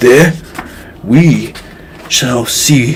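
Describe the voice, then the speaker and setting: Against clear background noise, a man puts on a raspy character voice with ordinary pitch variation. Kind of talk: archaic scriptural speech. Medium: read story.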